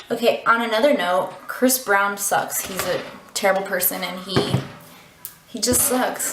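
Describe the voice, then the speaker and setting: There is noticeable background noise behind this woman as she speaks. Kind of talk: casual storytime talk to camera. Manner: fast.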